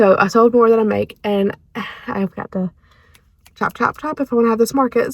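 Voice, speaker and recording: A woman in a North Carolina accent, fairly quick and with fairly even intonation. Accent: Southern US (North Carolina). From US South, North Carolina. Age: 20s. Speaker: vlogger and small business owner. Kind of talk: casual vlog chat. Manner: chatty, fillers and repetitions.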